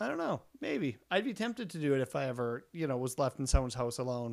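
Talking at a very fast pace with lively intonation, a man uses a fairly high pitch on a very clean recording with a silent background. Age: middle-aged. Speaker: photographer podcast co-host. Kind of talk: casual chat.

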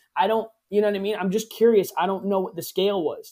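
This man speaks very fast in a high-pitched voice with a dark, mellow tone. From New England. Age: 20s. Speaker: podcast host. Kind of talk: casual chat.

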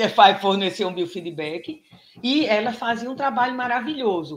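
Fairly high in pitch, a woman uses a normal speaking voice with lively intonation. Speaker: pelvic physiotherapist and professor. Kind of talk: casual interview.

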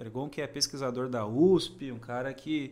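This man speaks in a bright, sharp tone. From Praia Grande, São Paulo coast, Brazil. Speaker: podcast host. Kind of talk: podcast interview.

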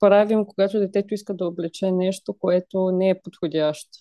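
The sound is dry and close with no echo, and a woman speaks at a moderate pace. Her voice is medium in pitch with a dark, mellow tone. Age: 20s. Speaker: parenting blogger, mother. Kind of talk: casual chat.

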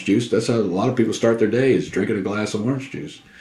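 A man with an American accent has a normal speaking voice. His pitch is medium, with ordinary pitch variation. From Southeast Texas. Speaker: pipe smoker, co-host. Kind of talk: casual chat.

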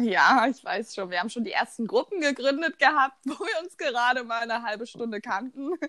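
Animated and fairly quick, the speech flows with hardly any pauses and lively intonation in a dry, close sound with no echo. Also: woman, high pitch for a woman. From eastern Germany, Rheinsberg, Brandenburg. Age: 20s. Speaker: student podcast co-host. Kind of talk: casual chat.

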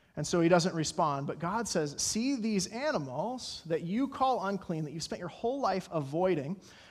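Speaking at a moderate pace with hardly any pauses, a man with an American accent has a high pitch and lively intonation. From Colorado. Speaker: pastor. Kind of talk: sermon. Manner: halting.

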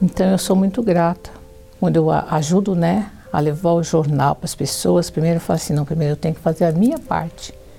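With music in the background, a woman talks at a fairly quick pace. Her pitch is fairly low, with ordinary pitch variation. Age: 60s. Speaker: church member giving testimony. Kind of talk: testimony.

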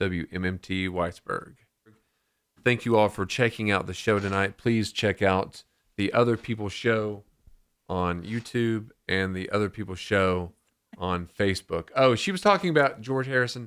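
At a moderate pace, a man with an unremarkable speaking voice and a fairly low pitch shows ordinary pitch variation in a very clean recording with a silent background. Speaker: radio host. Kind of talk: casual chat. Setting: radio studio.

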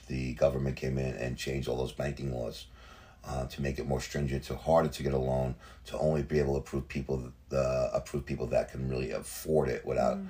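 A man's very deep, low, flat monotone over noticeable background noise. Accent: New Jersey. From New Jersey, Hudson County. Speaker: real estate agent. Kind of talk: casual interview.

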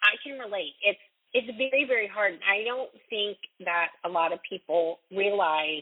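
A woman's plain, everyday voice at medium pitch, with lively intonation. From Raleigh, North Carolina. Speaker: radio host and singer-songwriter. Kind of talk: interview, casual chat.

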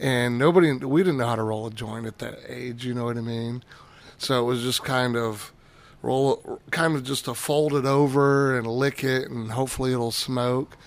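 A man with an unremarkable speaking voice, medium pitch, moderate pace and fairly even intonation. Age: 40s. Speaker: cannabis brand marketer. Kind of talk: casual chat.

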